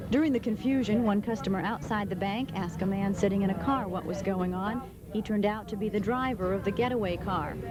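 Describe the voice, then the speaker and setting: Over music in the background, a woman talks at a very fast pace with hardly any pauses. Her voice sits at a medium pitch with ordinary pitch variation. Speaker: TV news reporter. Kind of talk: TV news report.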